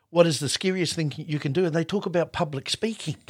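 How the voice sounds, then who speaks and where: Speech at a fairly quick pace sounds somewhat breathy on a very clean recording with a silent background. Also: man. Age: 60s. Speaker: podcast host. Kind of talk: casual chat.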